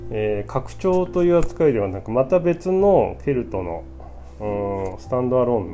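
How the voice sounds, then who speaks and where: A fairly low-pitched man at a fairly slow pace with hardly any pauses, very wide pitch swings and big swings in loudness. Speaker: podcast host, board game reviewer. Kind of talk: casual solo talk. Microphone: new cheap microphone.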